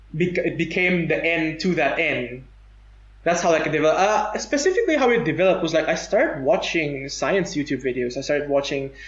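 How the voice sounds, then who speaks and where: Amid audible room echo, a man talks at a fairly quick pace with very even loudness and ordinary pitch variation. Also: fairly high pitch for a man. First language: non-English native tongue. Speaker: podcast guest. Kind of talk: casual chat. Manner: halting.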